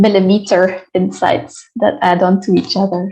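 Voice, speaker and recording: Her intonation fairly even, a woman speaks at a fairly slow pace in a medium pitch, sounding somewhat breathy. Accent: non-native. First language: not English. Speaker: career coach. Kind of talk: casual chat. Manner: halting.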